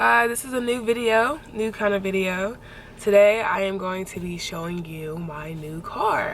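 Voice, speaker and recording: Lively intonation at a fairly slow pace, with audible room echo and noticeable background noise. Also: woman, medium pitch for a woman. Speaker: vlogger. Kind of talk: casual vlog. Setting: in a car.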